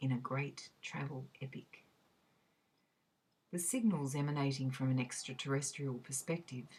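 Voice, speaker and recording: A woman's somewhat breathy voice with an Australian accent, very deep and low in pitch with ordinary pitch variation, at a moderate pace. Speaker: reader. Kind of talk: academic essay reading.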